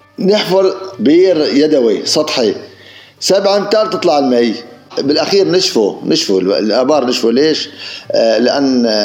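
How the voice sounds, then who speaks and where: A man's fairly high, fairly slow voice with very wide pitch swings and very even loudness, amid noticeable background noise and audible room echo. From Syria, Idlib countryside. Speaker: village headman. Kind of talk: interview, oral history reminiscence. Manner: halting, repetitive.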